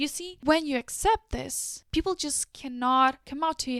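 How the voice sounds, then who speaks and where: A woman with a high pitch and an animated tone speaks at a moderate pace with lively intonation, the sound dry and close with no echo. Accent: non-native. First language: not English. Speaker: lifestyle YouTuber. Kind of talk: casual advice monologue.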